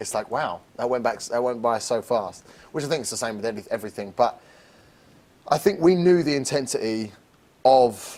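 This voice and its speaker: A man speaks with an English accent. His pitch sits in the medium range. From England. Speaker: lead actor in a student theatre production. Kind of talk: casual interview. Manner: halting, many repetitions.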